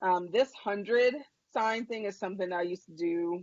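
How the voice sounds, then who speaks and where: A woman at a moderate pace with ordinary pitch variation and a normal speaking voice. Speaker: educator and webinar presenter. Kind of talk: webinar presentation. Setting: online webinar.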